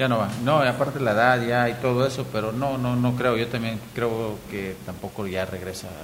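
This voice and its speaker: At a moderate pace, a man talks with fairly even intonation over noticeable background noise. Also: medium pitch for a man. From Mexico, Hidalgo (Pachuca area). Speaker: former professional footballer and coach. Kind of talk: casual chat.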